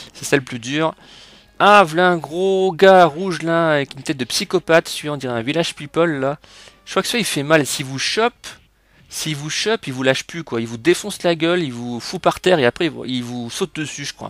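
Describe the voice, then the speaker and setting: A man with a fairly high pitch talks at a fairly quick pace with ordinary pitch variation and big swings in loudness, in a dry, close sound with no echo and a very clean recording with a silent background. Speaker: video game youtuber. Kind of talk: gameplay commentary. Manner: animated.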